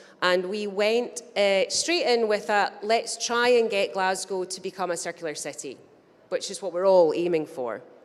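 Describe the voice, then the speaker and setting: A woman speaks in a Scottish accent at a medium pitch. Her pitch varies in an ordinary way. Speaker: business chamber representative. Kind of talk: conference talk. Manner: fast.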